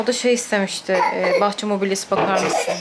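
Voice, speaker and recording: Noticeable background noise sits under the recording. A woman talks at a fairly quick pace. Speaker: vlogger. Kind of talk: casual vlog chat. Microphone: phone near.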